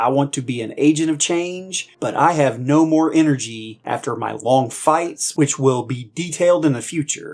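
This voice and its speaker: A man speaks in a normal speaking voice at a moderate pace. His pitch is fairly high, with ordinary pitch variation. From United States. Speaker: combat veteran. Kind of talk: political commentary monologue.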